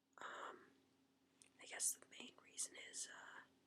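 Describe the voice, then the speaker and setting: Whispering at a very slow pace. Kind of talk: whispered casual talk to camera. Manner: whispered, soft-spoken.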